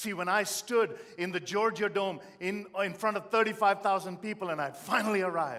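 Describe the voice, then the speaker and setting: A man speaks with an Indian accent. His tone is animated, bright and sharp. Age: 50s. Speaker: motivational speaker. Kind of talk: motivational speech.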